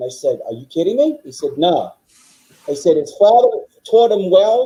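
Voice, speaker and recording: With a New York accent, the voice has a dark, mellow tone, very wide pitch swings and a moderate pace. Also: man. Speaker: political guest. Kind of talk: casual chat. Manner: forceful; halting.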